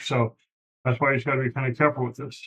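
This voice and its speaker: A man's voice at medium pitch carries a somewhat breathy quality and ordinary pitch variation. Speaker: lecturer teaching developers. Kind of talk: lecture-style tutorial. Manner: casual, with many fillers.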